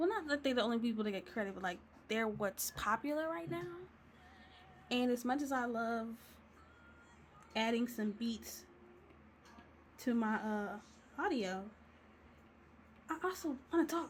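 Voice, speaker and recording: Over noticeable background noise, a woman speaks at a moderate pace with long, frequent pauses, a fairly high pitch, lively intonation and an animated tone. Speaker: digital artist and video creator. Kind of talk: casual chat while coloring. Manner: casual, rambling chat.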